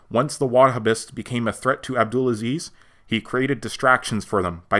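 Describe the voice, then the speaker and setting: Fairly quick and fairly even in intonation, a man talks with a bright, sharp tone. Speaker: film reviewer; university history student. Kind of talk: online video review.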